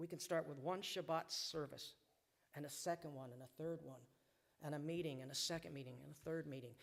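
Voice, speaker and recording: With a plain, everyday voice, a man talks at a fairly quick pace and fairly high pitch, his intonation fairly even. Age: 60s. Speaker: recovering alcoholic giving testimony. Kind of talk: testimony. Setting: synagogue service with congregation. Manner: emotional, earnest.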